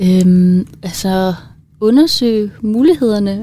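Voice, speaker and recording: A very slow pace with ordinary pitch variation. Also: woman. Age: 20s. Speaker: student co-presenter. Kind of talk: casual chat. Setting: studio.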